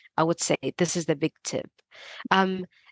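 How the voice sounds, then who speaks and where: With a non-native accent, a woman speaks at a medium pitch. The sound is dry and close, with no echo. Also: quiet background. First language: not English. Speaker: PhD researcher and Substack writer. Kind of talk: podcast interview.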